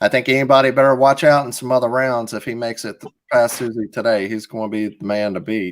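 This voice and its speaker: A man with an American accent at a fairly quick pace and medium pitch. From US South, Alabama. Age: 40s. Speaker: tournament host. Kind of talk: live commentary; sponsor ad read. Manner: animated.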